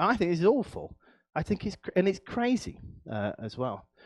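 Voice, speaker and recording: Speaking at a fairly quick pace with an animated tone, a man with an East Midlands accent is recorded against a quiet background in a dry, close sound with no echo. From English East Midlands, Nottinghamshire. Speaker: professor. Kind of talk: lecture.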